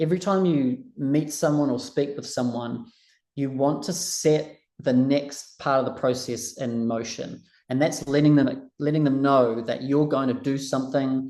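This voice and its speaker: At a fairly slow pace, a man speaks in a dark, mellow tone with a fairly high pitch and fairly even intonation. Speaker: recruitment trainer. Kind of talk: online training session.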